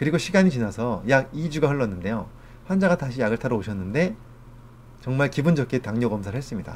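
This man's voice sits at a medium pitch. He talks at a very fast pace with lively intonation. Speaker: physician and lecturer. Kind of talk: lecture. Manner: formal.

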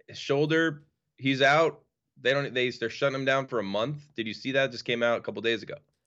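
This man has a normal speaking voice with an American accent and a medium pitch. He talks at a fairly quick pace with ordinary pitch variation. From New York. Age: 30s. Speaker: guest, sports bettor and baseball fan. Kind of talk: casual sports chat.

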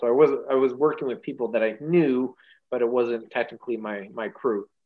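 With a Canadian accent, a man uses a normal speaking voice at a medium pitch and a moderate pace. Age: 40s. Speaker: firefighter. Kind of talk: casual chat.

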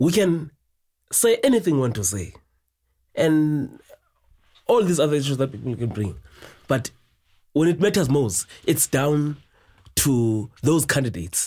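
The voice has a dark, mellow tone and is somewhat breathy, with very wide pitch swings. It moves at a fairly slow pace with long, frequent pauses. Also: man, fairly high pitch for a man. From South Africa, East London. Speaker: football analyst. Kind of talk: casual chat.

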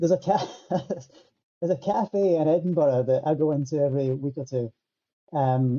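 A man's fairly high voice with a Scottish accent, dark, mellow tone, ordinary pitch variation and moderate pace. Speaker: musician. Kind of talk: casual chat. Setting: video call.

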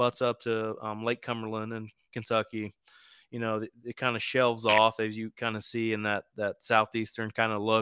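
A man in a US Midwestern accent speaks at a moderate pace and medium pitch, monotone and flat, with a bright, sharp tone, on a very clean recording with a silent background. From East Central Indiana. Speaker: hunting podcaster. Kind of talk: casual interview.

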